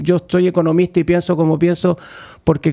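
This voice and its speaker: A man's voice with a dark, mellow tone. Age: 60s. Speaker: economist. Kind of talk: radio interview. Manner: hesitant, many fillers and repetitions.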